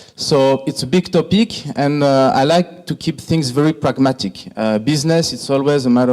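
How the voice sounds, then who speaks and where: Against noticeable background noise, a man with a French accent speaks at a fairly high pitch. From France, Greek heritage. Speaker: hospitality industry executive. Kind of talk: conference presentation. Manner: hesitant, many fillers.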